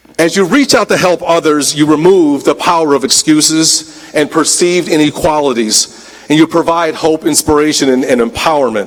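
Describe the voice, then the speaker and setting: Over noticeable background noise, a man with a fairly high pitch talks at a moderate pace, with ordinary pitch variation and very even loudness. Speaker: college dean and commencement speaker. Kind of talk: convocation speech. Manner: formal.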